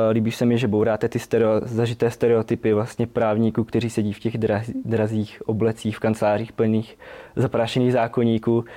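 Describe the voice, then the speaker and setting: A man's medium-pitched, dark, mellow voice, fairly quick and monotone with flat intonation. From Czech Republic, Olomouc region (Moravia). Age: 20s. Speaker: trainee lawyer and doctoral student. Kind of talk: legal explanation; casual interview.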